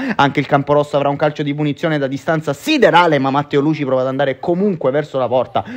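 A fairly high male voice at a very fast pace, hardly any pauses, and noticeable background noise. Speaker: football commentator. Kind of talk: live football match commentary, voiced over highlight footage. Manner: upbeat, energetic and fairly formal broadcast tone.

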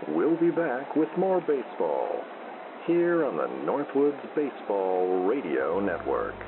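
The man talks fairly slowly. Background noise is noticeable throughout. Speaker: radio baseball play-by-play announcer. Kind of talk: live sports commentary, fake radio broadcast for sleep. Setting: radio broadcast.

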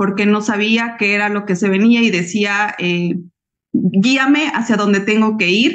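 A woman's fairly high voice with ordinary pitch variation against a quiet background. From Bolivia. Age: 40s. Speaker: civil engineer and network marketing consultant; guest. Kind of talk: personal testimony. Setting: video call. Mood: warm, heartfelt. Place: home room. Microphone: video call.

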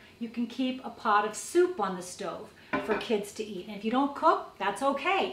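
A woman speaks at a moderate pace. The room echo is audible, with light background noise. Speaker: presenter. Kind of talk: tutorial. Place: kitchen.

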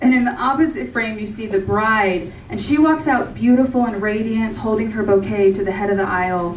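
With an American accent, a woman talks at a fairly quick pace with hardly any pauses, fairly high pitch and lively intonation, amid audible room echo and light background noise. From Orange County, California; California. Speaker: stand-up comedian. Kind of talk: stand-up comedy set with audience laughter, joke-driven storytelling. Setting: comedy club stage with live audience. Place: stage.

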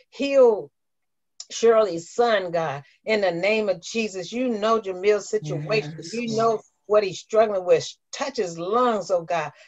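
A woman's fairly slow speech, with ordinary pitch variation, sits against a quiet background. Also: medium pitch for a woman. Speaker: prayer line host and minister. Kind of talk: fervent intercessory prayer, pleading for healing and comfort. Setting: phone prayer line. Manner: impassioned, urgent pleading with repeated cries of oh God; warm, affirming encouragement. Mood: fervent, pleading prayer. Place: home room. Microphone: video call.

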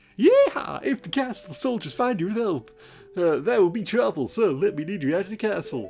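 A put-on character voice with very wide pitch swings, a moderate pace and faint music in the background. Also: man, high pitch for a man. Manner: hearty, exaggerated.

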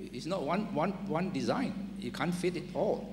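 A man talks in a high pitch against noticeable background noise. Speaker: university vice-chancellor, panellist; panelist. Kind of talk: panel discussion. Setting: stage with audience. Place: hall. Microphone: handheld.

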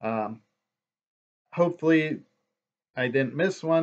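Moderate pace from a male speaker. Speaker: vlogger. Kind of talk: casual vlog chat. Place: home room. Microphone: webcam.

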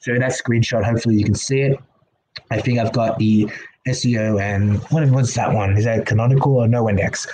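Speaking fast, a man has a medium pitch with fairly even intonation. His tone is slightly mellow, with a slightly husky edge.

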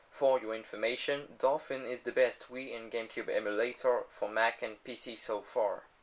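A man speaks at a moderate pace with a non-native accent, his loudness swinging widely. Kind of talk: casual tech demo narration.

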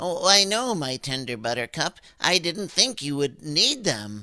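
Very wide pitch swings in a fairly high male voice, at a moderate pace. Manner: timid, apologetic.

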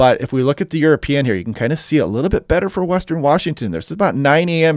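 Against a quiet background, a man speaks with lively intonation and an animated, enthusiastic tone, in a dry sound with no echo. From US Pacific Northwest. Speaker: weather forecaster. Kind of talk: weather report. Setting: screen-share video briefing. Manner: conversational, explanatory.

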